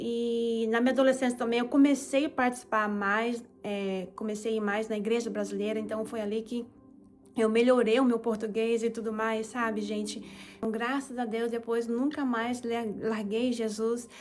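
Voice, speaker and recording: Pacing sits at a moderate rate. The intonation stays monotone and flat. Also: woman, fairly high pitch for a woman. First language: Japanese (speaking Portuguese). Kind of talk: testimony.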